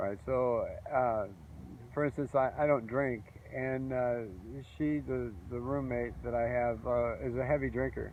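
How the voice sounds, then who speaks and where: Pausing long and often, a man speaks at a fairly slow pace in a medium-pitched voice with ordinary pitch variation. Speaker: video blogger. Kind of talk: personal vlog monologue. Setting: outdoors on a beach. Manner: halting, many uh fillers.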